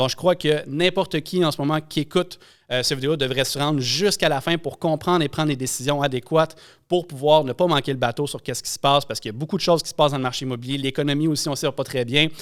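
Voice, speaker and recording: Very clean and set against a silent background, this recording has a man speaking at a very fast pace in a Quebec accent. His pitch is fairly high, with fairly even intonation. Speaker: podcast host, real estate broker. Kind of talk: episode intro monologue; podcast interview.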